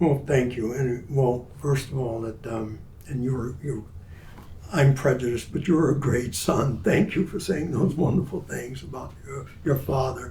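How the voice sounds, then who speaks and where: Noticeable background noise and audible room echo surround speech with ordinary pitch variation. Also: man, medium pitch for a man. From US South, Mobile, Alabama. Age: 90s. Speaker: war veteran. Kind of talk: family interview conversation.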